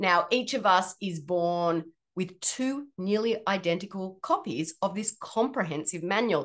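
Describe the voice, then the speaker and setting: A woman with an Australian accent speaks fairly slowly at a medium pitch, with ordinary pitch variation. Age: 40s. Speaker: podcast host and health practitioner. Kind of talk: solo podcast explainer.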